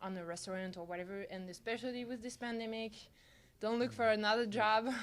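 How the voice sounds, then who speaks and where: Her medium-pitched voice stays monotone and flat throughout. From France. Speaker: type design student. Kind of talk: interview. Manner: halting.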